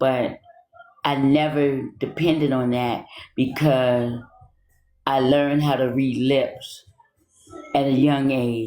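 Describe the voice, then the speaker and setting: The speech unfolds at a very slow pace, broken by long, frequent pauses. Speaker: TikTok content creator. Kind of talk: casual chat.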